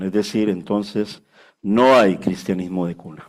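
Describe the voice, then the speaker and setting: The recording is very clean, with a silent background. It carries an unremarkable speaking voice. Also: man. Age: 60s. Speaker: pastor. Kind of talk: sermon. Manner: conversational, frequent filler 'vale'.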